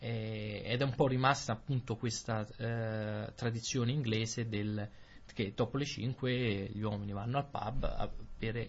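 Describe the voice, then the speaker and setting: This man speaks at a fairly slow pace in a somewhat breathy voice. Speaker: Italian language podcast host. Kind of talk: casual conversation for language learners.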